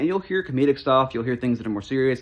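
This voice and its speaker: A man speaks at medium pitch. His intonation is lively. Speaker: youtuber. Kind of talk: casual channel update monologue. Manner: fast; sometimes slurred, runs off the rails.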